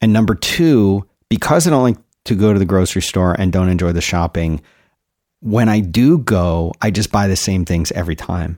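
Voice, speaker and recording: On a very clean recording with a silent background and a dry, close sound free of echo, a man speaks at a moderate pace in a very deep, low pitch with ordinary pitch variation. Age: 50s. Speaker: podcast co-host. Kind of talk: casual chat.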